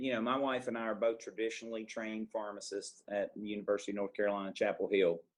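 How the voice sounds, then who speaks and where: A man with a Southern accent talks at a fairly quick pace. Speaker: pharmacist. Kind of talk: podcast interview.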